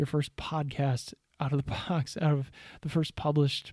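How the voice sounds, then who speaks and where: A man speaks at a fairly high pitch with a dark, mellow tone. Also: dry, close sound with no echo. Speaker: podcast host. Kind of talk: solo monologue tips. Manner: animated.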